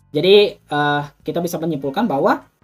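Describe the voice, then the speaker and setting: A man speaks with lively intonation while music plays in the background. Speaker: university student, YouTuber. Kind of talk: thesis defense presentation re-enactment. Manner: fast; halting with fillers.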